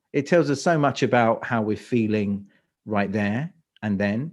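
A man's medium-pitched voice with a London accent, ordinary pitch variation and a fairly slow pace, over a quiet background. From London, England. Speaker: speaker coach. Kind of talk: interview.

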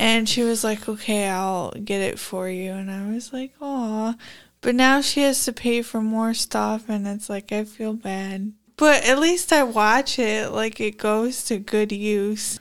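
A woman with a normal speaking voice speaks at a fairly slow pace and fairly high pitch, with ordinary pitch variation. The recording is very clean, with a silent background. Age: 30s. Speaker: podcast host. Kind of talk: casual chat. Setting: studio.

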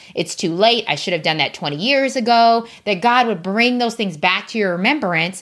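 Lively intonation marks a woman's fairly high voice on a very clean recording with a silent background. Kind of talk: warm faith-based pep talk, encouraging direct address to listeners. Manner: earnest, emphatic and affectionate, urging like a supportive big sister; repetitive, rallying cadence with rising conviction.

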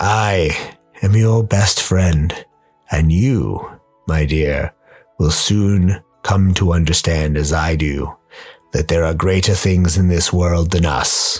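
Over faint music in the background, a man with a very deep, low pitch talks at a very slow pace. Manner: intimate, sinister.

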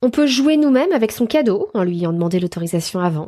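Against a quiet background, a woman with a medium pitch and a dark, mellow tone talks at a fairly quick pace with lively intonation. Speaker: podcast host, Montessori educator. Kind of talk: casual monologue.

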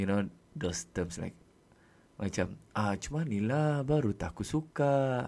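A man's dark, mellow tone with lively intonation at a fairly slow pace, in a very clean recording with a silent background. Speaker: podcast host. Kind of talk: solo monologue, casual. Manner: code-switching Malay-English with fillers.

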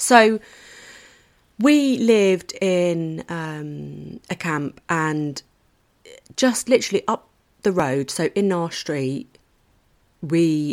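Over a silent background, the recording is very clean. A woman with a fairly low pitch speaks with very wide pitch swings. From England (Lancashire, army family moves, Cornwall from 13). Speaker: podcast host, nurse, mother. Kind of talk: casual monologue. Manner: animated.

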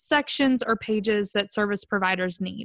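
A woman with a Southern US accent speaks at a fairly high pitch in an animated, enthusiastic tone, with ordinary pitch variation. Her fairly slow delivery has a dry, close sound with no echo against a quiet background. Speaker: podcast host. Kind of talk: casual interview chat.

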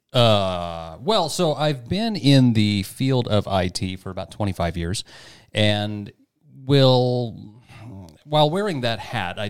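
Heard on a very clean recording with a silent background, a man with an American accent talks at a fairly slow pace with lively intonation and an ordinary speaking voice. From rural Kansas. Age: 40s. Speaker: IT worker. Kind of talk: casual chat.

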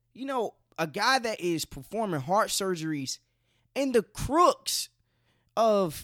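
The speech comes at a fairly slow pace with an American accent. Its pitch swings very widely. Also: man. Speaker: podcast host. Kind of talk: casual solo podcast monologue. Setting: bedroom, home recording. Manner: casual, conversational.

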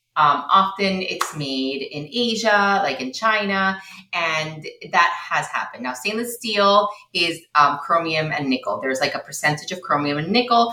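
Speaking at a moderate pace, a woman with a fairly low pitch uses lively intonation. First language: Spanish. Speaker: low-tox living consultant and educator. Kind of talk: interview, podcast conversation.

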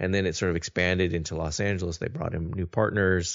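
In a very deep, low voice, a man speaks with monotone, flat intonation. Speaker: podcast host. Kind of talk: casual chat.

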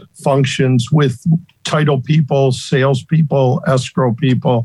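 A man with an American accent speaks at a fairly slow pace and a fairly high pitch. His voice is somewhat breathy, with fairly even intonation. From US Midwest, Northeast Ohio. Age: 60s. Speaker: retired title insurance salesperson and former pro bowler. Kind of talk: casual interview conversation.

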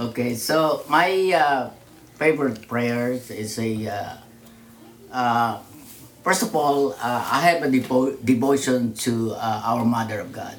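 Audible room echo around a man's fairly slow, medium-pitched speech with ordinary pitch variation. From Philippines, Manila. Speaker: churchgoer and immigrant father. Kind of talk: interview. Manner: halting.

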